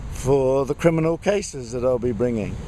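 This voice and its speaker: A man talks at a moderate pace with a British accent. There is noticeable background noise. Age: 60s. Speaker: vlogger. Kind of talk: video diary. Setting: outdoors.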